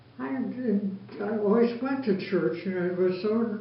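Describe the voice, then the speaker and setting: A woman with an American accent, fairly even intonation and a moderate pace, over noticeable background noise. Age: 80s+. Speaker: lifelong church member. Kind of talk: interview answer.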